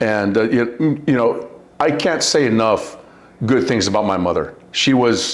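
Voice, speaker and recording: A man speaks with an American accent and ordinary pitch variation. Room echo is audible in the recording. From Southern California (La Puente). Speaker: war veteran and bodyguard. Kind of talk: interview.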